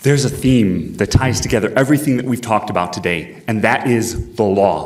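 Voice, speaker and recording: A man talks with audible room echo around him. Noticeable background noise runs underneath. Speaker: congressional candidate, lawyer. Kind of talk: candidate forum closing statement. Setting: stage with audience. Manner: fast.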